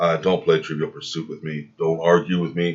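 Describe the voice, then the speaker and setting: The man's voice sits at a very deep, low pitch. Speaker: vlogger and reptile breeder. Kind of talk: casual commentary answering viewer comments. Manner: hesitant with fillers.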